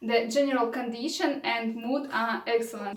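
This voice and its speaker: Speaking at a fairly slow pace in a Russian accent, a woman with a high pitch keeps her intonation fairly even while room echo is audible. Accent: non-native English, Russian. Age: 30s. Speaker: vlogger, raw food advocate. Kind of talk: vlog monologue. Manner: halting.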